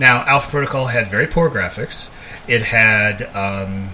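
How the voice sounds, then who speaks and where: A man talking at a moderate pace with ordinary pitch variation, over noticeable background noise. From grew up abroad in England and Germany, military family. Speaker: podcast co-host, gamer. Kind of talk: casual chat.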